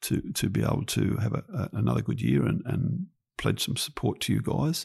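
A man is speaking. He has an Australian accent. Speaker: podcast host, land development business. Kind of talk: casual podcast chat. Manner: jokey, friendly.

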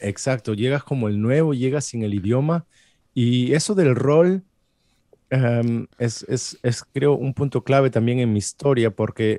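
A man speaks at a medium pitch in a dark, mellow tone, his intonation lively and his pace fairly slow. The sound is dry and close with no echo, in a very clean recording with a silent background. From Peru. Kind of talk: interview. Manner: halting.

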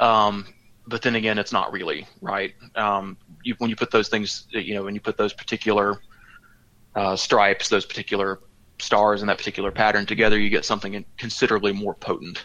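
A man talks in a Southern US accent at a fairly quick pace. His voice is fairly low and his intonation monotone and flat. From rural Georgia, US South. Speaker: historian. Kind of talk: casual chat. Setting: remote call from a vacation condo.

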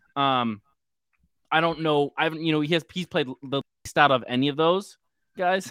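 On a very clean recording with a silent background and a dry, close sound without echo, a man with a fairly high pitch and bright, sharp tone speaks at a moderate pace with ordinary pitch variation and long, frequent pauses. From San Francisco. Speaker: sports fan guest. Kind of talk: casual chat. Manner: animated.

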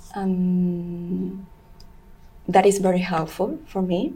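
Somewhat breathy and dark, mellow in tone, a woman at medium pitch speaks at a very slow pace. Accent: Venezuelan. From Venezuela. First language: Spanish. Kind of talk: interview. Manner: halting.

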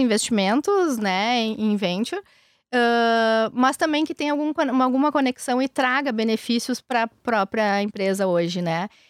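A woman with a strong gaúcho accent speaks fairly slowly with lively intonation and a fairly high pitch. The recording is very clean and dry, close with no echo, over a silent background. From southern Brazil, Rio Grande do Sul (São Jerônimo). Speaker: venture capital investor. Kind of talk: interview. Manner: calm.

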